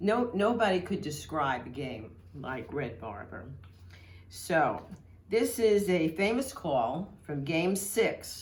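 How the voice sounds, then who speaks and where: A woman speaks with a New York accent, her voice somewhat breathy and her pitch swinging very widely. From Brooklyn, New York. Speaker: historical society member. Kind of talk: reminiscence to camera. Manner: humorous, engaging.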